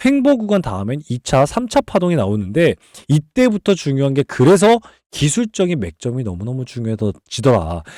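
Fairly high in pitch, a man speaks at a moderate pace with a dark, mellow tone and very wide pitch swings. The recording is very clean with a silent background, the sound dry and close with no echo. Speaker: stock market analyst and YouTuber. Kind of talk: sales-pitch style stock lecture. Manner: emphatic, repetitive, persuasive.

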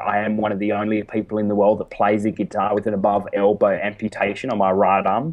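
Very fast male speech in an Australian accent, fairly low in pitch. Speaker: motivational speaker. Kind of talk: interview.

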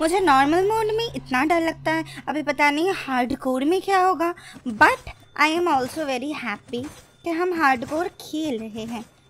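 With lively intonation and an excited tone, the speaker moves at a fairly slow pace while faint music plays behind. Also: woman, high pitch for a woman. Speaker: gaming commentator. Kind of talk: casual gameplay commentary.

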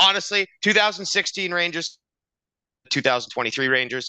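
A man's bright, sharp tone comes through dry, with no echo, over a quiet background. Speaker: podcast co-host. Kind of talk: sports podcast commentary. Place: home room. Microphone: headset.

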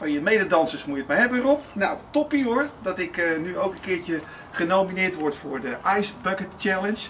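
This man has a high pitch and speaks at a moderate pace over light background noise. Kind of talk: casual address to camera. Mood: cheerful, joking. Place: garden. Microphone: camera far.

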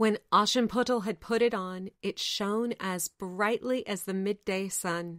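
What you hear is a natural reading voice.

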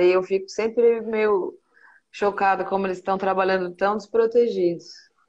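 A woman speaks at a moderate pace in a monotone, flat delivery. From Brazil, São Paulo (Penha); São Paulo. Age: 40s. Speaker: singer and live interview host; live interview host. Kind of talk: casual interview chat. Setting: Instagram live stream. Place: home room.

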